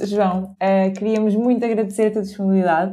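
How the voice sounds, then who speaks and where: A woman's dark, mellow voice at a medium pitch, with a European Portuguese accent. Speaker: podcast co-host. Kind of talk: casual interview chat.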